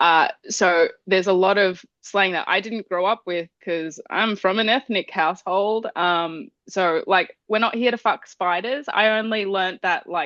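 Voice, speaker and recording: Talking at a fairly slow pace with hardly any pauses, a woman with an Australian accent shows ordinary pitch variation. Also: medium pitch for a woman, dry, close sound with no echo, quiet background. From Australia, Queensland (Brisbane), Spanish parents. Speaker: rock band vocalist. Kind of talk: casual interview chat.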